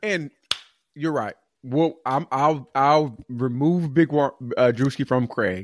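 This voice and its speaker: Very slowly, a man with an American accent talks at a fairly high pitch, the sound dry and close with no echo. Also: ordinary pitch variation. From Atlanta, Georgia, US South. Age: 30s. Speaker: podcast co-host. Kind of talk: casual chat. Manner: halting.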